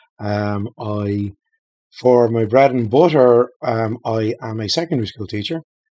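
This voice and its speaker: A man with an Irish accent speaks at medium pitch in a dark, mellow tone, at a fairly slow pace with ordinary pitch variation. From Ireland, Dublin. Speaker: game designer. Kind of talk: casual chat. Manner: hesitant with many fillers.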